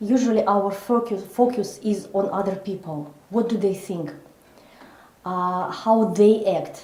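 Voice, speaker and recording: A woman's somewhat breathy voice in a non-native accent, at a very slow pace with ordinary pitch variation and audible room echo. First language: not English. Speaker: psychologist and coach. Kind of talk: interview. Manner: slow, deliberate; halting, many fillers.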